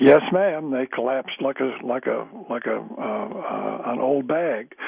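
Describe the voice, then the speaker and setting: A man talks fairly slowly as noticeable background noise carries on around him. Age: old. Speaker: caller. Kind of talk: call-in radio chat. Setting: phone call. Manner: halting.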